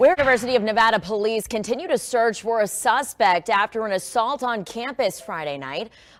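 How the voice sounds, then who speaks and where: In a normal speaking voice, a woman with an American accent talks at a fairly quick pace and fairly high pitch, with lively intonation and hardly any pauses. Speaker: TV news anchor and reporter. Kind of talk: local TV news anchor delivery.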